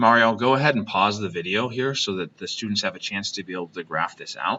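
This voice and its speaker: Talking at a very fast pace, a man has a fairly low pitch. His pitch variation is ordinary. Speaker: high school math teacher. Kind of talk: recorded math lesson for class. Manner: hesitant fillers.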